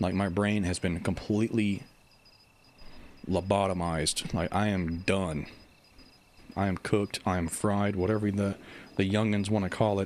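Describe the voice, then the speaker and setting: At a moderate pace but with long, frequent pauses, a man speaks at a fairly low pitch in a monotone, flat intonation with very even loudness. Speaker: video game YouTuber and livestreamer. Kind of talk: casual livestream chat. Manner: stumbles over words.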